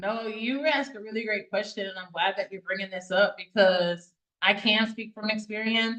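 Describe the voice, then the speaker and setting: With an American accent, a woman speaks at a moderate pace in a plain, everyday voice, fairly high in pitch with fairly even intonation and big swings in loudness. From US South. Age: 30s. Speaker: foster care advocate. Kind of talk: interview.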